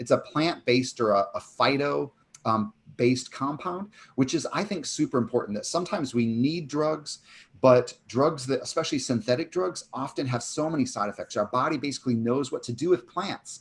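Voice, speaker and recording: A man's somewhat breathy, fairly high-pitched voice comes through on a very clean recording with a silent background. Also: ordinary pitch variation, fairly quick pace. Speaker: chiropractor and author, summit speaker. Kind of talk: conference talk. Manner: fast.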